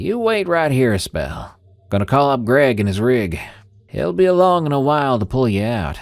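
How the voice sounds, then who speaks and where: A man puts on a gruff, drawling character voice with a strong Southern US accent, at medium pitch, swinging very widely in pitch at a moderate pace. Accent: thick country drawl. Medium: read story.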